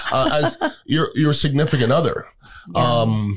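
A somewhat breathy voice with ordinary pitch variation. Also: man. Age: 50s. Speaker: podcast host. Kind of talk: casual chat.

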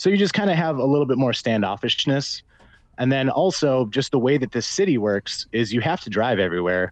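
A man with an American accent at a fairly quick pace, medium in pitch, with very wide pitch swings, very even loudness and a quiet background. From Minnesota. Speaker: gin company sales director. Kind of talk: casual chat.

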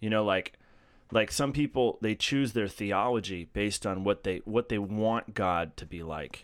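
With an American accent and an ordinary speaking voice, a man talks fairly slowly at a fairly low pitch with ordinary pitch variation, on a very clean recording with a silent background. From Massachusetts. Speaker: podcast co-host. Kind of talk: casual group discussion.

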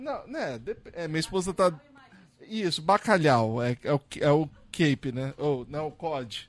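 Lively intonation marks this fairly slow delivery, broken by long, frequent pauses. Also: man. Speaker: podcast host. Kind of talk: casual interview. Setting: video call.

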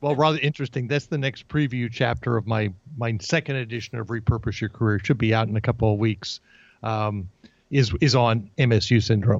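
A man with an American accent has an unremarkable speaking voice. His medium pitch moves with ordinary variation. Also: fairly quick pace. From New Jersey. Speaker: career coach. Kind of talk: interview.

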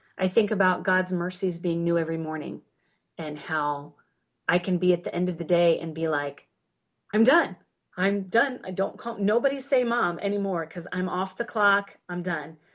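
A woman's unremarkable speaking voice at a medium pitch, moderate pace and ordinary pitch variation. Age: 40s. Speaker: homeschooling mother. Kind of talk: casual chat.

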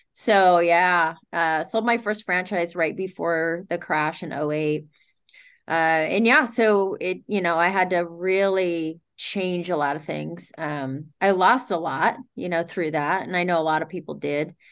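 A woman with an American accent and a plain, everyday voice speaks at a fairly slow pace, her fairly low pitch showing ordinary variation, against a quiet background. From US West Coast (Sacramento, Northern California). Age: 50s. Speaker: boxing coach and fitness business owner. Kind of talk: casual interview.

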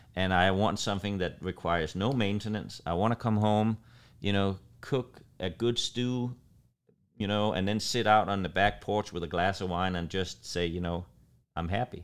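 With a Danish accent, a man speaks at a moderate pace and with fairly even intonation in a very clean recording with a silent background. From Denmark. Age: 50s. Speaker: chef and restaurant owner. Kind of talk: casual interview conversation.

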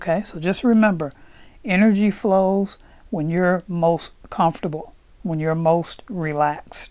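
A woman's fairly low, dark, mellow voice at a fairly slow pace, with ordinary pitch variation. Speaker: podcast host and meditation guide. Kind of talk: guided meditation. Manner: slow, calm, soothing, with gentle repetition.

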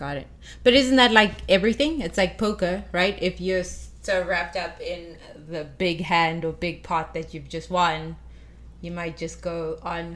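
Fairly slow speech from a woman with fairly low pitch, vocal fry, ordinary pitch variation and big swings in loudness. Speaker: poker player and podcast co-host. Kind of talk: casual chat. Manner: playful.

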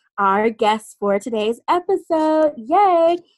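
A woman speaks at a fairly slow pace. Her pitch makes big swings.

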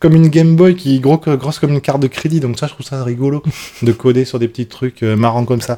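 With a dark, mellow tone, a man at medium pitch talks at a very fast pace with ordinary pitch variation. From southwest France (Bordeaux, Lot-et-Garonne). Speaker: demoscene programmer. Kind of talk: casual chat. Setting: on a couch with beers. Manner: talkative.

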